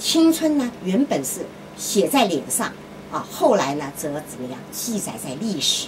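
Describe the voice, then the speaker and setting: A woman speaks in a medium pitch at a fairly slow pace, with very wide pitch swings and big swings in loudness. Noticeable background noise can be heard. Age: old. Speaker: radio host. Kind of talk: radio talk monologue. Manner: frequent filler sounds. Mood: opinionated, conversational. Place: booth.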